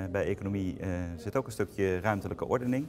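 A man speaks at a fairly low pitch with noticeable background noise behind him. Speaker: local politician, alderman. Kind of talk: press interview. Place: meeting room.

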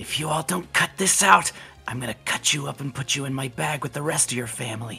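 A man in a put-on character voice, whispering and hissing at a fairly quick pace over clear background noise. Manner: threatening, slithery whisper.

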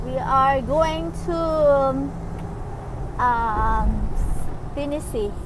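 The sound is dry with no echo, and noticeable background noise is present. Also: woman. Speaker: passenger vlogger in a truck. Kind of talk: casual vlog chat. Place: car. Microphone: phone near.

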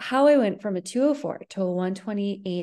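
A woman with a dark, mellow tone and lively intonation talks against a quiet background. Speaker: running coach presenting. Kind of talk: webinar presentation. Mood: friendly, upbeat. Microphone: webcam.

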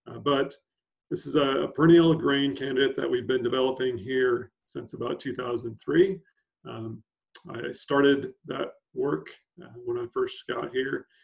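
A man at a fairly slow pace, with big swings in loudness, ordinary pitch variation and a quiet background. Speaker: plant scientist. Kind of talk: webinar presentation. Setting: video call. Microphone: video call.

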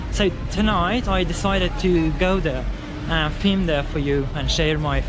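A man speaks in a dry recording with no echo while clear music plays in the background. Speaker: travel vlogger. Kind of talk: casual vlog chat. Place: street. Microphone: phone near.

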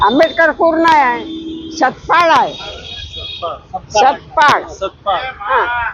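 Over noticeable background noise, a woman speaks with lively intonation in a high voice. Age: 80s+. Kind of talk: interview answer, reminiscing.

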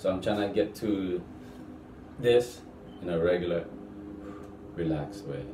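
A man with a fairly low pitch talks at a fairly slow pace, leaving long, frequent pauses. Noticeable background noise runs behind him. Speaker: fitness vlogger. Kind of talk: casual vlog chat. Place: bathroom. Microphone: camera far.

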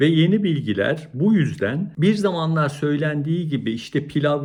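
In a plain, everyday voice, a man speaks at a fairly slow pace with lively intonation. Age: 60s. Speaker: cardiologist. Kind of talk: educational talk to camera.

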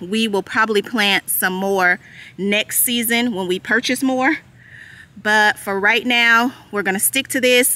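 Bright and sharp in tone, a woman talks at a fairly slow pace with ordinary pitch variation in a dry sound with no echo. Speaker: homesteading vlogger. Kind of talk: casual vlog chat. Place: open country. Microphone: phone near.

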